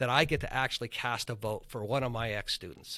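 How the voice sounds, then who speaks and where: Loud and excited, a man speaks at a moderate pace in a bright, sharp tone on a very clean recording with a silent background. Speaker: high school government teacher, former congressional aide. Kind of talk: interview conversation. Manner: gets louder and excited on issues he cares about.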